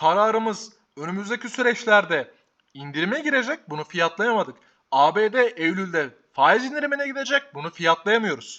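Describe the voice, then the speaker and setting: In a quiet background, a man with a high pitch projects a raised voice at a fairly slow pace, his tone bright and sharp and his pitch swinging very widely. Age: 20s. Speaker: stock market youtuber. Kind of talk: market commentary vlog. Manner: animated.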